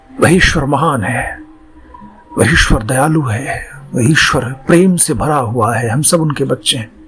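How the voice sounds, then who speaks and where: Music plays in the background as a man speaks in a calm tone at a fairly high pitch, with ordinary pitch variation. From Bihar, India. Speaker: actor; voice artist. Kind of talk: guided meditation. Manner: slow, calm.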